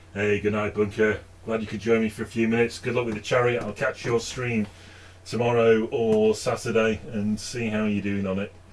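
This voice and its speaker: In a slight northern English accent, a man talks fairly quickly at medium pitch with monotone, flat intonation. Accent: slight northern English (Stockport). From northern England, Stockport. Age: 50s. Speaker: hobby painting streamer. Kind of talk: casual live stream chat. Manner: hesitant, many fillers.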